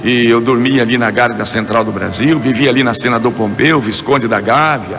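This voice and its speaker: Speech moves at a moderate pace with fairly even intonation and very even loudness. Audible room echo and noticeable background noise are present. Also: man, medium pitch for a man. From Brazil, Rio de Janeiro. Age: 60s. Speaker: evangelical singer and preacher. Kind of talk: testimony interview.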